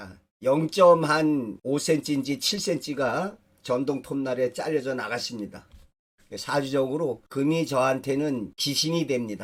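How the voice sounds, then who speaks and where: A very slow-paced man with a fairly high pitch and ordinary pitch variation. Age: 60s. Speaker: dream interpreter and fortune teller. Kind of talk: personal storytelling lecture. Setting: studio video recording.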